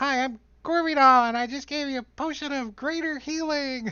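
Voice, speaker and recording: A put-on character voice sits at a high pitch. The pace is moderate. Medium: actual play.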